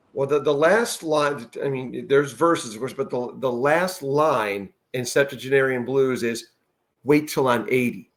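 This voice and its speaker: With an unremarkable speaking voice, a man talks at a medium pitch and moderate pace, showing ordinary pitch variation. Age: 50s. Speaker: podcast host. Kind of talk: casual interview chat.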